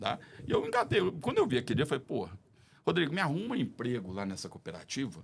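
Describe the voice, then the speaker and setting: A man talks at a very fast pace and a fairly high pitch, with very wide pitch swings and vocal fry. Long, frequent pauses break up his speech. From Brazil, Belo Horizonte. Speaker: podcast guest. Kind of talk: casual chat.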